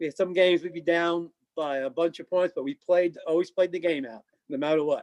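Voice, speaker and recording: The man's pitch is high and his pace moderate. The sound is dry and close, with no echo. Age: 60s. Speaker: retired amateur rugby player. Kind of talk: casual chat.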